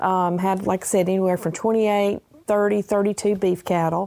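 A woman in a Southern US accent speaks at a moderate pace and medium pitch, in monotone, flat intonation. Her tone is dark and mellow on a very clean recording with a silent background. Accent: Southern US (Georgia). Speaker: retiree, farmer's wife. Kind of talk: interview.

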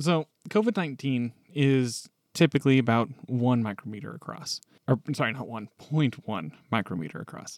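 An unremarkable speaking voice with lively intonation, big swings in loudness and a moderate pace, in a dry, close sound with no echo. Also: man, medium pitch for a man. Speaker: podcast co-host. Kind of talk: casual discussion.

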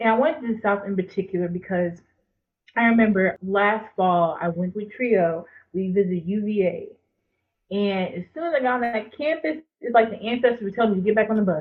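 A woman with an American accent and a plain, everyday voice talks at a fairly quick pace, medium pitch and ordinary pitch variation. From rural North Carolina, Jacksonville. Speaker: graduate student. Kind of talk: casual interview conversation.

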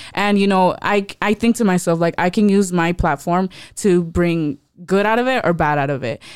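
An ordinary speaking voice at a moderate pace, ordinary pitch variation, and a very clean recording with a silent background. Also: woman, medium pitch for a woman. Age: young. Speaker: youth podcast host. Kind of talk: casual faith discussion.

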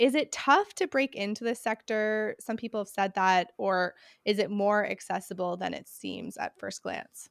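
A woman with an ordinary speaking voice talks at a medium pitch and a moderate pace, with ordinary pitch variation and hardly any pauses. The recording is very clean with a silent background. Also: dry, close sound with no echo. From Canada. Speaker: podcast host. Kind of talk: podcast interview.

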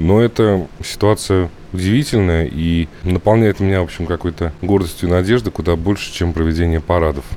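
Pitch varies in an ordinary way, and the delivery keeps a moderate pace. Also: man, very deep, low pitch for a man. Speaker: bookshop owner. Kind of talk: interview. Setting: outdoors.

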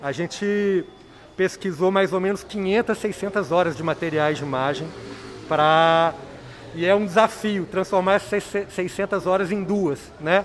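Speaking in a high pitch at a fairly slow pace, a man leaves long, frequent pauses. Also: ordinary pitch variation. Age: 40s. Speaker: documentary film director. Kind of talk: radio interview.

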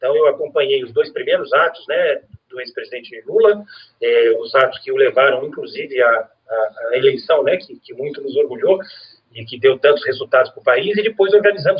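Keeping a moderate pace, a man speaks with big swings in loudness. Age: 40s. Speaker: lawyer. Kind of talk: interview.

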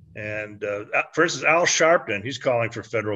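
Against a quiet background, a man with an American accent speaks in an ordinary speaking voice at a fairly low pitch. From United States. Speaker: website writer and commentator. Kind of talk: casual chat. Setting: video call.

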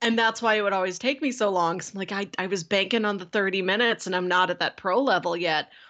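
The voice moves at a very fast pace with a bright, sharp tone and ordinary pitch variation against a quiet background. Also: woman, medium pitch for a woman. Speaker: podcast co-host. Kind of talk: casual chat. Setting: video call.

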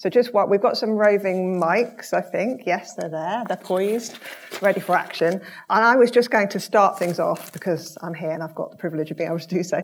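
This woman talks at a fairly quick pace in a medium pitch with ordinary pitch variation and a plain, everyday voice. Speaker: event moderator. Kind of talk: audience Q&A moderation. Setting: stage with audience.

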